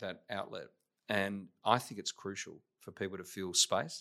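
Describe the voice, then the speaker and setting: In an Australian accent, a man with a fairly low pitch speaks at a very slow pace. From Australia, Adelaide. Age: 50s. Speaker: business executive. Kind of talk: interview. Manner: hesitant, many fillers.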